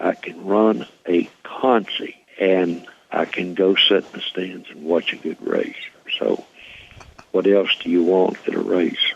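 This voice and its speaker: The speech is very slow, with noticeable background noise. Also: man. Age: 70s. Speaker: retired race car builder and driver. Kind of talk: radio interview.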